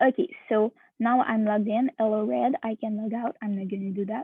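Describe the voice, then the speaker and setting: With a non-native accent, a woman speaks at a fairly slow pace and a fairly high pitch, with ordinary pitch variation. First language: not English. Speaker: hackathon participant. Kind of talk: software demo presentation. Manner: halting, many fillers.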